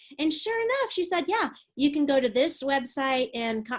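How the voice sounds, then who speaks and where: At a moderate pace, a woman speaks. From Texas, San Antonio. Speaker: preaching professor and pastor. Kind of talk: webinar lecture. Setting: recorded online webinar. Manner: many fillers and hesitations.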